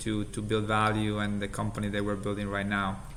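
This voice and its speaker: In an Italian accent, a man speaks in a bright, sharp tone with audible room echo. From Italy. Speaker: healthcare company CEO. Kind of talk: interview.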